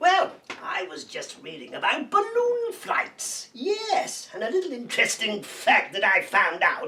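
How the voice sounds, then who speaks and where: Extremely high pitch and a fairly slow pace in a put-on character voice. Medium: comedy sketch. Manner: giggly, chatty.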